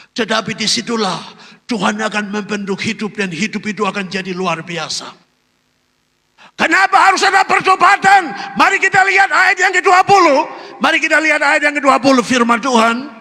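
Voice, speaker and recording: A man speaks in a raised, projected voice at an extremely high pitch. His pace is fairly quick, with very wide pitch swings. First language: not Indonesian (speaking Indonesian). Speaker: pastor. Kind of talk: sermon.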